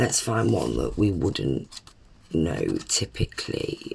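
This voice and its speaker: A woman with a British accent talks over noticeable background noise. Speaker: tarot reader. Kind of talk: live stream chat. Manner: casual, filler-heavy.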